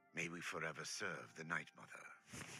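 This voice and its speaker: Using a put-on character voice, a man speaks at a very deep, low pitch and moderate pace. Clear background noise is present. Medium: video game.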